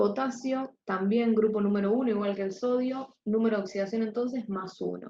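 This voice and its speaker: Soft-spoken and somewhat breathy, a woman talks at a fairly slow pace with a dark, mellow tone, a fairly high pitch and ordinary pitch variation. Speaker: chemistry tutor. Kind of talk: lecture.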